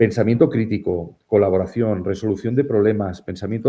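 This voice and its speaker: Fairly quick and fairly low in pitch, a man's voice carries the speech. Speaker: economic psychologist, keynote speaker. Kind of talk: interview. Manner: hesitant, many fillers.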